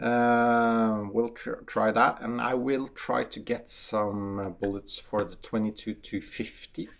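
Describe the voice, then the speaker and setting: A very slow pace in a Norwegian accent, with monotone, flat intonation and hardly any pauses. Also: man, medium pitch for a man. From Norway. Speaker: hunter and shooting channel host. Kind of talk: casual talk to camera. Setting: shooting range. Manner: halting, many fillers.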